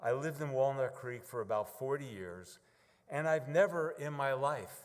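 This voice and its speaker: A man with a medium pitch and a New York accent. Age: 70s. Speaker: congregation member. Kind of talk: testimony.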